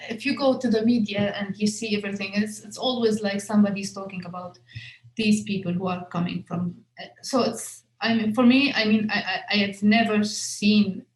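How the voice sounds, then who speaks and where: A woman speaks in an Arabic accent at a medium pitch and a moderate pace. Her intonation is fairly even, but her loudness swings a lot. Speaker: filmmaker. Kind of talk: interview Q&A. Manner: halting, many fillers and repetitions.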